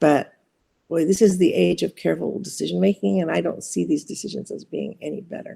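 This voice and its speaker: A woman speaks in a Californian accent. Her loudness swings a great deal. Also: fairly quick pace. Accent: Californian American English. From US West Coast, Orange County, California. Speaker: poet and psychology professor. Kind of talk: interview. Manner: halting.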